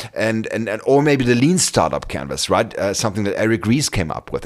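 A man with a German accent and medium pitch talks at a fairly quick pace with hardly any pauses and lively intonation, over noticeable background noise. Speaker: career coach and podcast host. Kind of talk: solo podcast monologue. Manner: halting, many fillers and repetitions.

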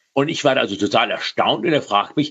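A man speaks with a fairly high pitch. His voice carries vocal fry. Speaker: data scientist. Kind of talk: interview.

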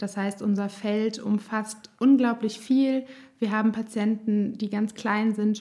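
A woman speaks very slowly in a fairly high, somewhat breathy voice. Her intonation stays fairly even. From Germany, Nassau (Rhineland-Palatinate). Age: 30s. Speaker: speech therapist and singer. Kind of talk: interview; guided voice exercise.

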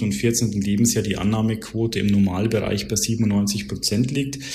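With noticeable background noise and audible room echo, a man speaks at a fairly low pitch with fairly even intonation. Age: 30s. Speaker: insurance broker account manager. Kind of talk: podcast interview.

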